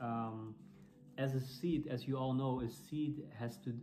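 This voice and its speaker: A man with a Dutch accent, against noticeable background noise. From Netherlands. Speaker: church planter and preacher. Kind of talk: sermon or Bible teaching. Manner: halting, with frequent fillers and repeats.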